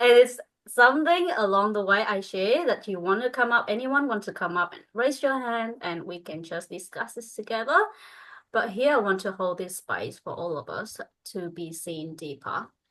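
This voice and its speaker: A woman with a Vietnamese accent speaks at a moderate pace in a fairly high pitch, her intonation lively and her loudness swinging widely against a quiet background. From northern Vietnam. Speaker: spiritual coach. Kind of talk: group coaching call. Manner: halting.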